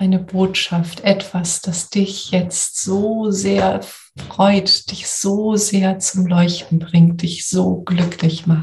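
A woman with a soothing, gentle tone talks at a very slow pace and medium pitch, her intonation monotone and flat. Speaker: coach and podcast host. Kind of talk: guided meditation. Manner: slow, soothing, gentle; calm, warm, soft-spoken.

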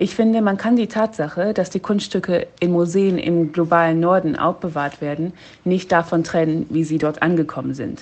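A woman's fairly low voice, an ordinary speaking voice with ordinary pitch variation. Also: moderate pace. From half German, half Ugandan. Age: 20s. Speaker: PhD student in African history. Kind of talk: recorded voice message. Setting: in Uganda on home leave.

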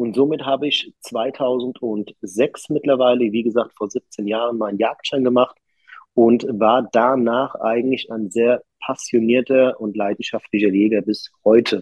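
This man has a plain, everyday voice at a medium pitch. He talks at a fairly slow pace with fairly even intonation. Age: 30s. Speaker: master electrician and business owner, hunter. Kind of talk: interview. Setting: recording with poor sound quality.

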